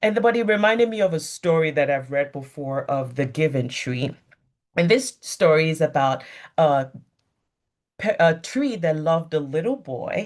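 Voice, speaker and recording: Someone speaks at a moderate pace in a West African accent. The recording is very clean, with a silent background. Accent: West African accent, audible. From Nigeria (Lagos). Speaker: physician. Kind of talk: motivational talk.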